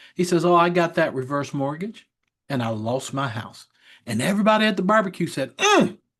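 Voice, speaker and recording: With a quiet background behind him, a man talks at a fairly quick pace in a high voice that swings very widely in pitch. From Kentucky. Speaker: reverse mortgage specialist. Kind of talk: presentation.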